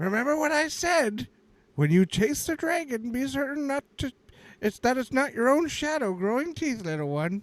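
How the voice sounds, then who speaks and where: In a put-on character voice, a man speaks at an extremely high pitch. His voice is raised and projected. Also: moderate pace. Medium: actual play. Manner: preachy, grandfatherly.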